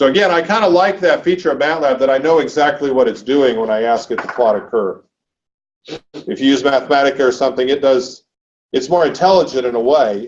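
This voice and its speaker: A man talks at a fairly quick pace in a fairly high pitch. His pitch variation is ordinary, and it is a plain, everyday voice. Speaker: seminar instructor. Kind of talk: lecture.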